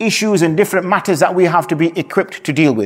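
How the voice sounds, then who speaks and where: This man's voice sits high for a man, with ordinary pitch variation. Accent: Yorkshire. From Yorkshire, northern England. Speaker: Islamic scholar, mufti. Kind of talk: religious talk.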